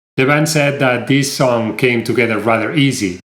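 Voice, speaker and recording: A man speaks fairly quickly with a Spanish accent. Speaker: music reviewer. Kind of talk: video review. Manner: animated.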